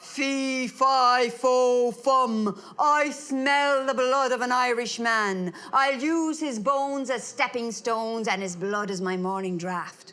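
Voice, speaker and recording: A booming, put-on character voice that sounds female, pitched fairly high, moves at a fairly slow pace with hardly any pauses. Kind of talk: storytelling.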